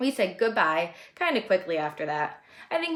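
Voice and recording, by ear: A natural voice reads the text aloud.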